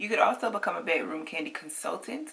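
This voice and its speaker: Amid noticeable background noise, a woman speaks at a moderate pace with lively intonation. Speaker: makeup reviewer and sales consultant. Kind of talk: product review vlog.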